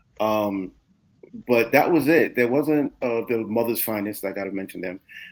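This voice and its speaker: Speaking in a New York accent, a man shows ordinary pitch variation. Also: medium pitch for a man, moderate pace. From New York (Mount Vernon). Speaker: music producer and manager. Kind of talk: interview. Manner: halting.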